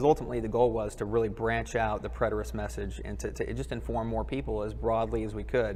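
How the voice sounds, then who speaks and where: A man talks very rapidly amid noticeable room echo. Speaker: government quality control worker, conference attendee. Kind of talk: casual interview. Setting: conference live stream, wireless mic. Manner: loud; hesitant with fillers.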